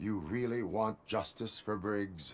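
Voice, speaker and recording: Here a man uses a put-on character voice with a fairly low pitch. He goes at a fairly slow pace. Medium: video game. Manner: flat, formal, measured.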